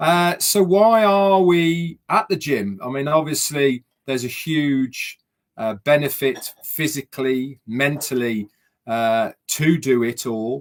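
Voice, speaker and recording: Very slowly, a man speaks in a fairly high pitch. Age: 60s. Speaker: vlogger. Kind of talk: casual monologue. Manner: hesitant, many fillers.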